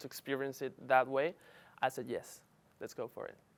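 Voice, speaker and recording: A man speaks with a Spanish accent. His voice sits fairly high. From Paraguay, Asunción. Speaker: international student worker. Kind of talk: interview testimony.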